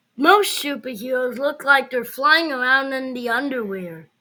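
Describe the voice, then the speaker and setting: A female-sounding, put-on character voice rings out at a high pitch. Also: moderate pace. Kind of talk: children's read-aloud. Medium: read story. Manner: playful, animated.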